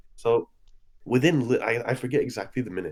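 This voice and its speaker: A man's dark, mellow voice, with vocal fry. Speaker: regular podcast guest, YouTuber. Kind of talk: casual chat. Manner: animated.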